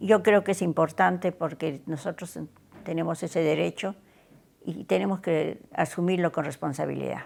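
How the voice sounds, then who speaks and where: This woman talks at a moderate pace with vocal fry, her fairly low pitch moving with ordinary variation. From Peru. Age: 90s. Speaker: interviewee, witness of history. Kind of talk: testimony. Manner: halting.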